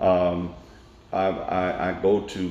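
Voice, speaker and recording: In a Tennessee accent, a man talks with a very deep, low pitch. Noticeable background noise and audible room echo are present. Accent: Southern American (Tennessee). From US South, Nashville, Tennessee. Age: 60s. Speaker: elected court official. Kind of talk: interview.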